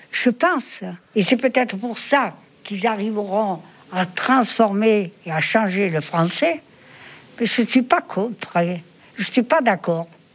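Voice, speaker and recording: This woman talks at a very slow pace, with long, frequent pauses. Her pitch is fairly high and her intonation lively. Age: 90s. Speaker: retirement home resident. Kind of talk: interview. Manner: halting.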